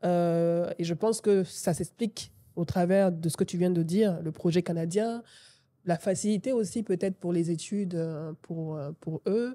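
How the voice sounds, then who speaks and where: The voice has a dark, mellow tone, ordinary pitch variation and a fairly slow pace. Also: woman, fairly low pitch for a woman. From Côte d'Ivoire. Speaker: podcast host. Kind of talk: interview conversation. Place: studio. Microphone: studio mic.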